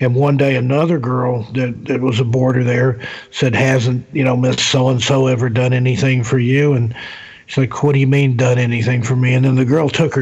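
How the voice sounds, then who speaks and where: A man speaks in a flat monotone at medium pitch and a moderate pace. Noticeable background noise sits behind him. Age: 50s. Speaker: author and paranormal investigator. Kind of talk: casual chat.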